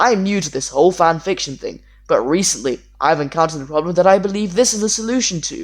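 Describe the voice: Someone reads aloud. The delivery is plain.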